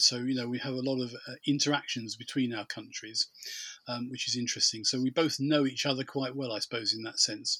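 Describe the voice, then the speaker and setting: With a British accent, a man talks fairly quickly in a bright, sharp tone with monotone, flat intonation. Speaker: podcast host. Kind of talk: casual chat.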